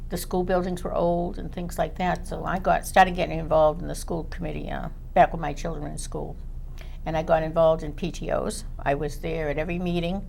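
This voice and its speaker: Words come at a very fast pace in a Boston accent, with monotone, flat intonation and audible room echo. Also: woman, fairly low pitch for a woman. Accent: Boston-area. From Chelsea, Massachusetts. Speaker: school committee member. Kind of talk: panel discussion.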